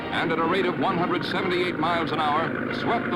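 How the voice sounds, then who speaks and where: A man at a fairly quick pace amid noticeable background noise. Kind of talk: newsreel narration.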